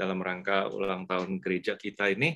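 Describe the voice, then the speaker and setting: A man with a bright, sharp tone against a quiet background. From Indonesia. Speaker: church webinar moderator. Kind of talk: webinar moderation. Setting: video call. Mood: friendly, smiling. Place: home room. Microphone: video call.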